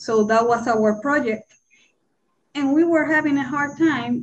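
Speaking at a very slow pace, a woman with a Spanish accent uses ordinary pitch variation. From Puerto Rico. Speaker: Spanish teacher. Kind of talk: panel discussion. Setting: video call. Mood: earnest, somber. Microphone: video call.

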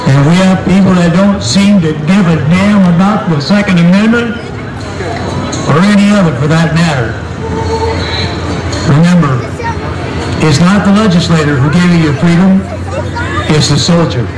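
A moderate pace with long, frequent pauses over clear background music. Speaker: event announcer. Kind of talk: patriotic speech. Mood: solemn, patriotic. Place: stadium.

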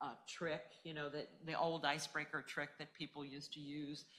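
A low-pitched woman's voice with a fairly bright tone and little pitch movement, at a moderate pace.

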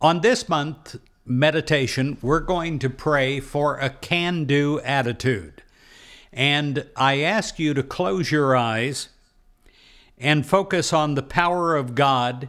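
Against a quiet background, a man with a fairly high pitch talks at a very slow pace with ordinary pitch variation. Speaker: meditation leader. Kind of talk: guided prayer meditation. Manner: calm, slow, reassuring; earnest, affirming, with pauses for silence. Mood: calm, warm, earnest. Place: studio. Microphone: studio mic.

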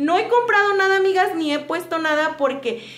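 A woman speaks at a moderate pace, with audible room echo. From Mexico. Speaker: homemaker vlogger. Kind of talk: casual vlog talk to viewers. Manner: chatty, with many fillers. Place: home room. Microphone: phone near.

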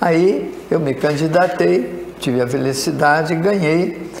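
Amid audible room echo and light background noise, a man talks in a fairly high pitch with lively intonation. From Brazil, São Paulo state (Itararé); São Paulo state, Brazil. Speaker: retired mining engineer; interview guest. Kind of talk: interview storytelling. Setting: studio. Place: studio. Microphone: lapel.

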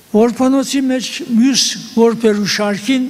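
A man is speaking with noticeable background noise. Room echo is audible. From eastern Turkey (Western Armenian). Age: 80s+. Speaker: genocide survivor. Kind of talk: testimony.

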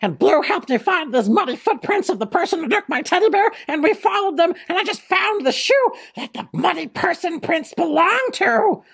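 A cartoonish character voice at a moderate pace, with very wide pitch swings. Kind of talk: children's puppet comedy. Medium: puppet show. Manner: excitable, breathless, rambling.

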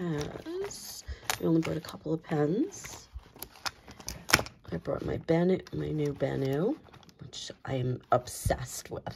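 A woman speaking very slowly, with long, frequent pauses, over noticeable background noise. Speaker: journaling and stationery hobbyist. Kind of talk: casual talk to camera.

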